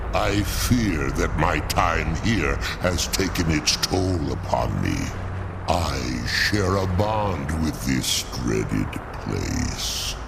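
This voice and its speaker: A man's put-on character voice, very deep and low, delivered very slowly over loud background noise. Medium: machinima. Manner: formal, measured, dignified.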